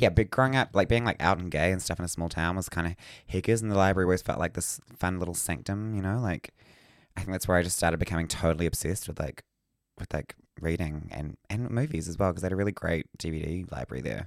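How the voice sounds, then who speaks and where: In a New Zealand accent, a man talks at a very fast pace. His pitch is very deep and low. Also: ordinary pitch variation, very clean recording, silent background. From Whangarei, New Zealand. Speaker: podcast co-host.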